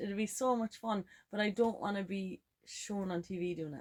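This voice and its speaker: A woman's voice in a Kerry Irish accent. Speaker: podcast co-host. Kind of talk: casual chat. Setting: camper van.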